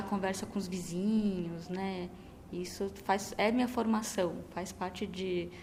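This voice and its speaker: The delivery is monotone and flat, at a fairly slow pace. There is noticeable background noise along with audible room echo. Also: woman. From São Paulo, Brazil, with Minas Gerais parents. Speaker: poet. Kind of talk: interview. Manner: halting, many fillers.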